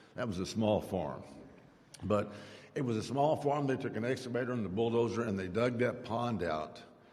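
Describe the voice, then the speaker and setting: Audible room echo surrounds a man with an American accent. His medium pitch carries a dark, mellow tone and ordinary pitch variation. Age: 70s. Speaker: politician. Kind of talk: public speech.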